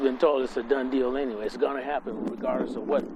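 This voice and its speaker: A man's voice over noticeable background noise. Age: 70s. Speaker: local resident, retired city worker. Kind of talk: interview. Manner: halting, many fillers.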